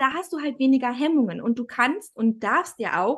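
A woman at a fairly quick pace, ordinary pitch variation, quiet background. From Thuringia, Germany. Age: 30s. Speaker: family photographer. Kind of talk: casual interview.

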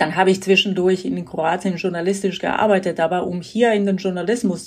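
Her medium-pitched voice, a woman's, holds fairly even intonation. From Croatia. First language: Croatian (speaking German). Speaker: radio editor. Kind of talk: interview.

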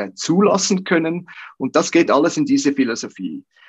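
Recorded with a dry, close sound and no echo, a man with a plain, everyday voice and fairly high pitch speaks at a moderate pace with lively intonation. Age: 50s. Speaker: golf coach. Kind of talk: interview.

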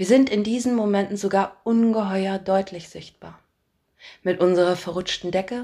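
A woman with a dark, mellow tone, fairly even intonation and a moderate pace. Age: adult, parent. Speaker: podcast host and storyteller. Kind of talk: scripted narration.

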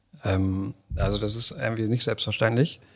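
A man's fairly low voice with a bright, sharp tone, a moderate pace and ordinary pitch variation, on a very clean recording with a silent background. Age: 40s. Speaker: startup founder. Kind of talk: interview conversation. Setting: in person, same room. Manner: hesitant, many fillers.

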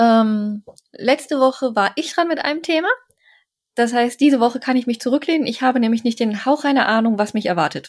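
Fairly quick speech from a woman with a high pitch. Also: ordinary pitch variation. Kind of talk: casual chat.

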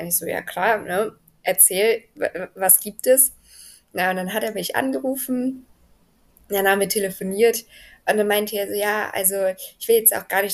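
Keeping her intonation fairly even, a woman talks at a medium pitch and a moderate pace. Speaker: American football coach and paramedic. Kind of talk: casual interview. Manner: calm, friendly.

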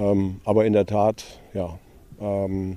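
A man speaks at a fairly low pitch with a dark, mellow tone. His intonation is monotone and flat. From western Germany, Velbert between Düsseldorf and Essen. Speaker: former professional goalkeeper. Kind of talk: casual interview.

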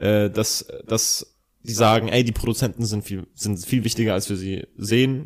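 Speaking at a moderate pace, the man has a medium pitch, ordinary pitch variation and a plain, everyday voice. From Bavaria (Ingolstadt). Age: 30s. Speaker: rapper. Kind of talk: casual chat. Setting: indoor recording.

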